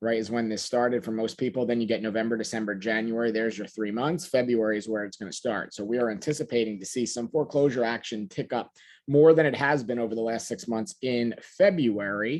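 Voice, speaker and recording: Talking at a very fast pace, a man keeps a medium pitch with ordinary pitch variation. He leaves hardly any pauses. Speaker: real estate business trainer. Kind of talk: webinar presentation. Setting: conference call.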